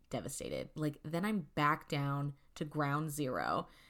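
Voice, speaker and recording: A woman's very deep, low-pitched voice, animated in tone and moderate in pace, in a very clean recording with a silent background. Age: 20s. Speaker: podcast host. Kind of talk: casual chat. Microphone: new microphone.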